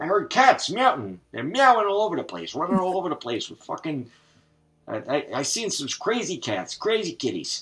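Against a quiet background, a man speaks at a high pitch and moderate pace, with very wide pitch swings and big swings in loudness. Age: 80s+. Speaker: online gamer. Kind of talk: casual chat. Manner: halting. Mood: joking, teasing. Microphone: headset.

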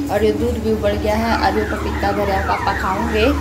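Loud background noise fills the recording. A woman speaks at a very slow pace. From Haryana, India. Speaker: home vlogger. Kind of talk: casual home vlog talk to camera. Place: home room. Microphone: phone near.

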